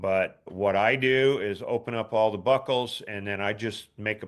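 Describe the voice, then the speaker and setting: With an ordinary speaking voice of medium pitch, a man talks at a fairly slow pace and fairly even intonation against a quiet background. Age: 60s. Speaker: ski boot fitter. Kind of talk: Q&A advice session.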